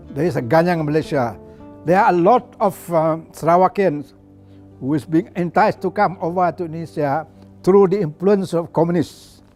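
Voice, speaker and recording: Music plays in the background as a man speaks at a moderate pace. His pitch is high, with ordinary variation. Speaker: former politician. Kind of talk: interview answer, reminiscing about history.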